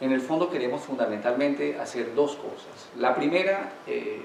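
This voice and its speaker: Speaking at a fairly slow pace, a man uses a medium pitch and a Colombian accent. Noticeable background noise and audible room echo surround him. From Colombia, Manizales. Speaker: law professor and consultant. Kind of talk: academic lecture. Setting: university lecture hall with audience.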